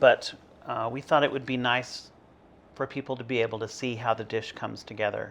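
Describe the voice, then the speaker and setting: Medium pitch in a man's voice. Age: 60s. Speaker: monk demonstrating cooking. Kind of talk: cooking tutorial.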